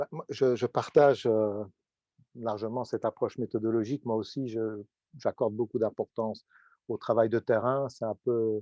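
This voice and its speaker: Against a quiet background, a man speaks at a moderate pace. His tone is dark and mellow, and the sound is dry and close with no echo. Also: medium pitch for a man, fairly even intonation. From Belgium. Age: 60s. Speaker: professor. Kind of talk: panel discussion.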